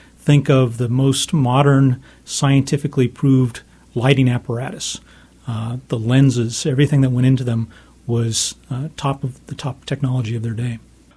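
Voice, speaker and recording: A man's medium-pitched, dark, mellow voice, somewhat breathy, with monotone, flat intonation at a moderate pace. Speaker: author of a history book. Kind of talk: interview. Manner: uses many fillers and repetitions.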